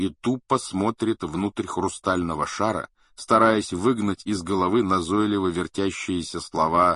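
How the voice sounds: Reading done in a natural voice.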